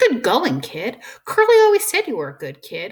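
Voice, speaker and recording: Putting on a character voice, a woman talks at a moderate pace with a high pitch and big swings in loudness. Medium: read story. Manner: tough, grim.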